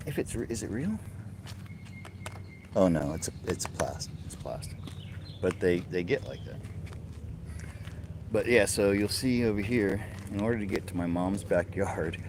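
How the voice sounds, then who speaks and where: A man speaks at a moderate pace and a fairly low pitch, with long, frequent pauses. Noticeable background noise runs underneath. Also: ordinary pitch variation. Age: 60s. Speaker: video blogger giving a walking tour. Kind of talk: casual walking tour narration. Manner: conversational, halting.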